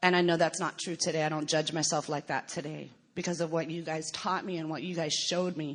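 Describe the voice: Talking at a fairly quick pace, a woman with an American accent has a low pitch and fairly even intonation.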